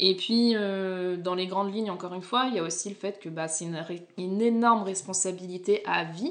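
Speaking at a fairly quick pace, a woman has a plain, everyday voice, a medium pitch and fairly even intonation. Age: 30s. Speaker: podcast host. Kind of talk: casual chat.

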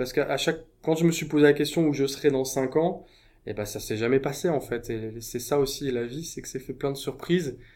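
Pitch moves in an ordinary way here. The speaker is a man. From France. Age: 30s. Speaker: burnout survivor. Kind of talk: interview testimony. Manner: halting.

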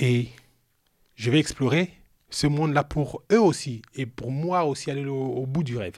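A man's animated, fairly high-pitched voice at a fairly slow pace, with ordinary pitch variation, long and frequent pauses, and a very clean recording with a silent background. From Cameroon. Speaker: retired pro basketball player, youth mentor. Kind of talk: storytelling interview. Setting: live recording with his son present.

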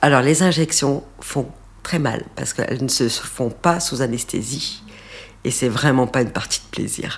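A woman's voice with lively intonation. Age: 50s. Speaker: interviewee sharing cosmetic treatment experience. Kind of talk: testimony.

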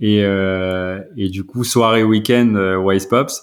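The recording is very clean with a silent background, and a man's intonation stays fairly even. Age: 40s. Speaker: startup founder. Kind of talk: interview. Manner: halting.

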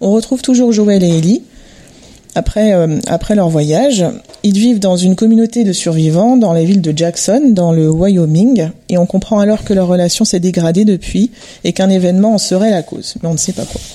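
A woman at a medium pitch with a dark, mellow tone, ordinary pitch variation and a moderate pace. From Montreuil, Paris region, France. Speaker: interior designer, guest. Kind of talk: casual panel discussion. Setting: home living room recording.

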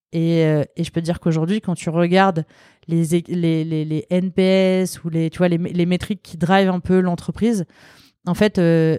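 In a very clean recording with a silent background and a dry, close sound with no echo, a woman speaks at a moderate pace with a fairly low pitch and a dark, mellow tone. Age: 30s. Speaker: product designer. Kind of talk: interview conversation. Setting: recorded at guest's workplace.

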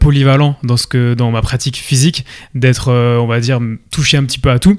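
Fairly even intonation comes from a plain, everyday voice at a moderate pace. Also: man. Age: 20s. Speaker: fitness coach and content creator. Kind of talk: casual interview. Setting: at the guest's home.

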